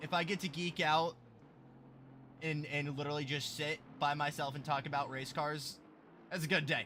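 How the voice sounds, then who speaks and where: A man speaks loudly at a moderate pace, his fairly high voice bright and sharp in tone. The delivery stays loud throughout. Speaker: sim racing commentator. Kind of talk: live commentary. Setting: livestream. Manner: animated.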